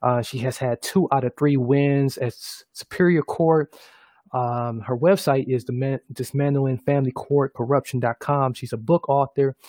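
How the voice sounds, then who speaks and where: A man speaks at a moderate pace and a medium pitch. His intonation stays fairly even. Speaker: podcast host. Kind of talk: casual talk show interview. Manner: halting, many fillers.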